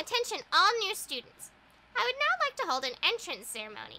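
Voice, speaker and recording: This put-on character voice sits at an extremely high pitch and moves at a fairly quick pace. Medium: fan dub. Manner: lighthearted, whimsical.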